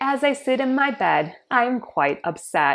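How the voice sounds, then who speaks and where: The voice sweeps through very wide pitch swings over a quiet background. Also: woman. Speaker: chronic illness patient with a tracheostomy. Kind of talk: personal story narration.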